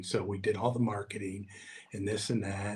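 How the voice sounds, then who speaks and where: A man's somewhat breathy voice at a moderate pace, in a monotone, flat intonation. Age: 60s. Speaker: long-distance walker and author. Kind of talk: interview. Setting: on location at a mansion.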